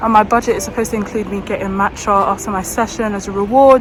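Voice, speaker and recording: A woman talks at a very fast pace with a slight London accent and fairly even intonation. Her pitch is fairly high, and background noise is noticeable. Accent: slightly Essex-leaning London. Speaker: medical student and vlogger. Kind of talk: casual vlog talk. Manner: casual, chatty.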